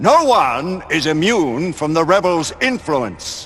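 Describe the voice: The speaker uses a put-on character voice with a fairly bright tone. The pace is slow, and the pitch swings widely. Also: man, fairly high pitch for a man.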